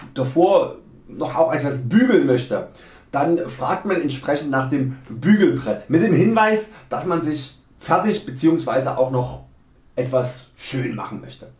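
Speaking very slowly with a fairly high pitch, a man's somewhat breathy voice has lively intonation and big swings in loudness, with audible room echo. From Saxony, Germany. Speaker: video creator. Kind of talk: humorous dialect lesson to camera. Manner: tongue-in-cheek, mock-serious. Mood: playful, joking.

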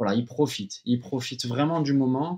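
A man talks at a moderate pace, his intonation fairly even, over a quiet background. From Corsica. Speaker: former professional footballer; podcast guest. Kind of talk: interview answer. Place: home room. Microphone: webcam.

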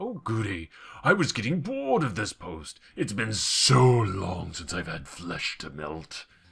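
A fairly slow, fairly low-pitched put-on character voice from a man. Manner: menacing, gleeful.

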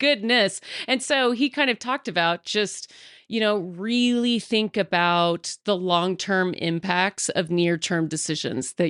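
A woman with an American accent and an ordinary speaking voice talks at a medium pitch and fairly slow pace, in a dry, close sound with no echo and a quiet background. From Texas. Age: 30s. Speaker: political candidate. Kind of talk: casual interview.

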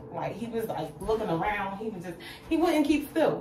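A woman's speech comes at a fairly quick clip, with noticeable background noise behind it. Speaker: vlogger. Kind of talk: casual storytime vlog chat. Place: bathroom. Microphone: phone near.

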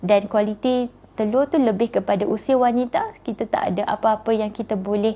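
In a dark, mellow tone, a woman talks at a fairly slow pace with fairly even intonation. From Malaysia. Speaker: fertility doctor. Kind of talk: live Q&A talk. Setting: Instagram live stream. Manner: conversational with many fillers. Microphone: lapel.

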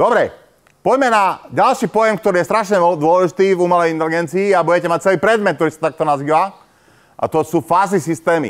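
A man with a high voice talks very fast at a very even loudness, with ordinary pitch variation and a quiet background. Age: old. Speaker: university professor. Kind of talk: lecture. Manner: hesitant, many fillers. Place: classroom.

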